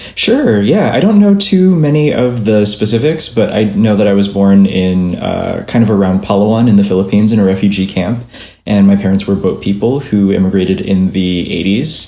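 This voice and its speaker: A fairly low-pitched man at a moderate pace, with ordinary pitch variation and hardly any pauses, amid noticeable background noise and audible room echo. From Minnesota, US Midwest. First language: Vietnamese. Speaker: illustrator and graphic novelist. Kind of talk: casual interview.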